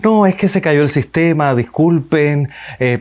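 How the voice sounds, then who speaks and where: This man's voice sits fairly high. His intonation is lively. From Cuba. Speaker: radio and television announcer. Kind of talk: public speaking lesson to camera.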